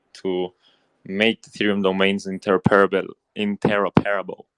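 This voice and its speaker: In a Spanish accent, a man speaks at a moderate pace with a fairly low pitch. The sound is dry and close, with no echo. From Spain, Barcelona. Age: 20s. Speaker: crypto investor. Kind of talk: casual chat. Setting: audio chat room. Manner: halting.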